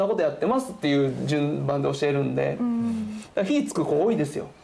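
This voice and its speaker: A man at a fairly quick pace, with very wide pitch swings, over noticeable background noise. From Japan, Fukui. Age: 30s. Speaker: politician. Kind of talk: casual interview.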